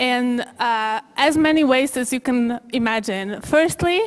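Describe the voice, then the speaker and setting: A woman speaks in a high voice with a Polish accent. Her pitch varies in an ordinary way. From Poland. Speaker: human rights lawyer and panel moderator. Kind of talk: conference talk. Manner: halting.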